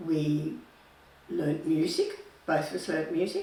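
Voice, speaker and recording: A woman with an Australian accent and ordinary pitch variation, amid audible room echo and noticeable background noise. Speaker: retired nurse. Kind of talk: life story interview.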